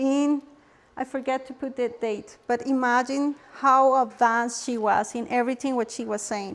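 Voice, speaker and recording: A woman with a Spanish accent speaks at a high pitch and a moderate pace. Her intonation is monotone and flat. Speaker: holistic health workshop presenter. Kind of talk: workshop presentation. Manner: halting, with repetitions.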